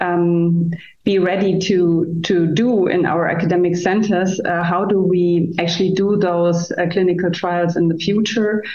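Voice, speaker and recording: Delivered at a moderate pace, the monotone speech with flat intonation has audible room echo. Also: woman. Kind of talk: interview answer. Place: office. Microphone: video call.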